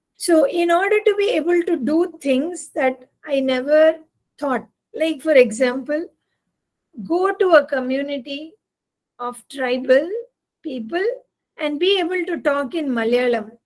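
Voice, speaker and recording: A woman's high-pitched voice in a Tamil accent, with lively intonation and long, frequent pauses. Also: fairly slow pace. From Tamil-speaking South India. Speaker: engineering professor and volunteer coordinator. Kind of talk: invited talk.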